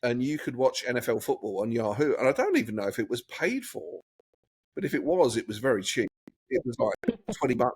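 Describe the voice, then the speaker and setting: With an English accent, a man speaks at a fairly quick pace in a dry, close sound with no echo. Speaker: guest, expat entrepreneur and former photographer. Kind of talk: casual chat.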